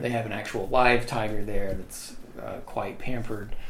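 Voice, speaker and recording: Over noticeable background noise, a man with an American accent talks at a moderate pace with lively intonation. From US South, Mississippi. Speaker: history professor. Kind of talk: casual chat. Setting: home office.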